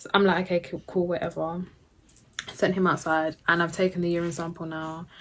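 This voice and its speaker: Speaking in a London accent, a woman with a fairly low pitch keeps a moderate pace and a monotone, flat intonation. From Jamaican. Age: 20s. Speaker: YouTuber, new mother. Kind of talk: casual talk to camera.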